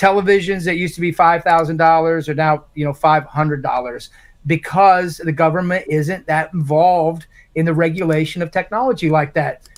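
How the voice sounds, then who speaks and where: A man with an American accent, high pitch, fairly even intonation and a fairly quick pace. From Indiana, Morgan County. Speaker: congressional candidate. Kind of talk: live town hall Q&A.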